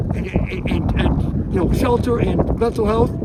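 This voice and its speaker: A man speaks at an unhurried, moderate rate while noticeable noise fills the background. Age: 70s. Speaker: protester. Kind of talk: casual chat. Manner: animated.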